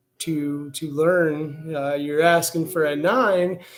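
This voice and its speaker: A man talks very slowly in a fairly high voice with fairly even intonation. Audible room echo surrounds him. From Louisville, Kentucky. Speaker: tarot reader livestreamer. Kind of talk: livestream tarot reading, casual. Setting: live stream with music. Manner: casual, many fillers.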